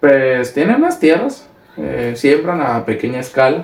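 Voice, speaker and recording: The talk moves at a fairly slow pace over noticeable background noise. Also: man. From Mexico, Sinaloa (Ahome). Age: 20s. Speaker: young politician and furniture business worker. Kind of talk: casual interview. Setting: video podcast.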